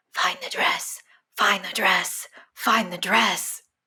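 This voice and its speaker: Whispering in a raspy, put-on character voice, the speaker goes at a very slow pace. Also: female-sounding voice. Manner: eerie, otherworldly, repetitive.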